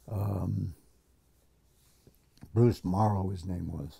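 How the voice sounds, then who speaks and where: Somewhat breathy and dark, mellow in tone, a man speaks very slowly with fairly even intonation. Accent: American. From US Northeast (Connecticut). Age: 80s+. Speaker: veteran musician. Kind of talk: interview. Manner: halting.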